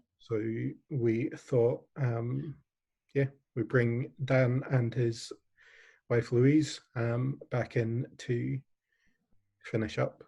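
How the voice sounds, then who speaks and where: A man speaks very slowly with an English accent, leaving long, frequent pauses. His tone is dark and mellow, somewhat breathy, with fairly even intonation. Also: medium pitch for a man. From England. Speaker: online charity event host. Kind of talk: closing remarks at online fundraiser. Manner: hesitant, many fillers.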